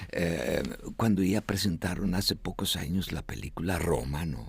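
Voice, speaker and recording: A man talks at a fairly slow pace with a very deep, low pitch. His voice carries vocal fry. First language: Estonian (speaking Spanish). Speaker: interview guest. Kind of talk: interview. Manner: halting.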